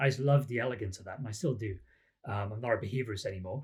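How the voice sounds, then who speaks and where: A somewhat breathy man with a Welsh accent and lively intonation. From Wales, the Valleys. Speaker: psychology academic. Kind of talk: interview.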